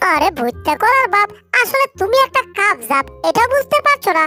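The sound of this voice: A squeaky, cartoonish character voice with very wide pitch swings and faint music in the background. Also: woman, extremely high pitch for a woman, moderate pace.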